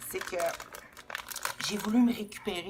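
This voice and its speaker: A woman with a Quebec accent speaks with lively intonation over music in the background. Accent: Québécois. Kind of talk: casual spiritual talk to camera.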